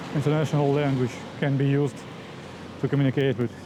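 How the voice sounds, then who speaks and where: A fairly high-pitched man's voice with noticeable background noise. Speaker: vlogger, longboarder. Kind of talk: casual vlog talk while riding. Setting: outdoors, riding a longboard. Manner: halting, many fillers.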